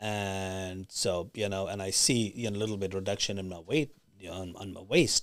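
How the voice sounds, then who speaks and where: A man with a plain, everyday voice and a fairly low pitch talks at a fairly quick pace on a very clean recording with a silent background. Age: 60s. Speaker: medspa business owner. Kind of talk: interview.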